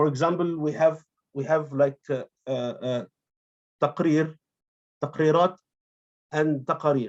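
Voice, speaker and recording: A man with an Arabic accent and fairly high pitch, fairly slow and fairly even in intonation, with long, frequent pauses. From Egypt. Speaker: academic conference presenter, translator. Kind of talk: conference presentation. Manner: halting, many fillers and repetitions.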